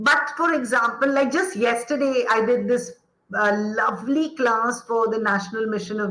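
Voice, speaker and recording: Her tone passionate and bright, sharp, a woman with a fairly high pitch speaks at a fairly slow pace with ordinary pitch variation. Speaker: educator, former actor. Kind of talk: interview answer.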